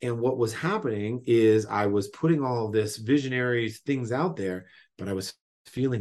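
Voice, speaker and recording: A plain, everyday voice speaks at a moderate pace. The background is quiet. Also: man. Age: 30s. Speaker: entrepreneur. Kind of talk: casual interview chat. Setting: remote call.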